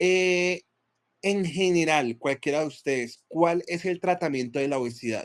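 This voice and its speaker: With ordinary pitch variation, a man speaks at a fairly slow pace and a high pitch. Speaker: physician teaching a class. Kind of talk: lecture.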